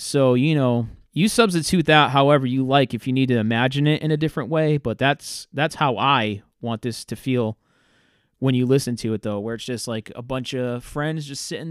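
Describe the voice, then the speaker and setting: A man talks at a moderate pace and medium pitch, with ordinary pitch variation and big swings in loudness. The sound is dry and close with no echo, on a very clean recording with a silent background. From Massachusetts, South Coast (Fairhaven). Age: 30s. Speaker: podcast host. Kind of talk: casual solo monologue. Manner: halting, many filler words.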